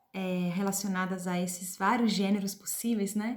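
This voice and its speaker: A woman's somewhat breathy voice with an Italian accent. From Switzerland (Italian-speaking). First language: Italian (speaking Portuguese). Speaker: literature professor and translator. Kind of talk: personal presentation to camera. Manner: hesitant, many filler sounds.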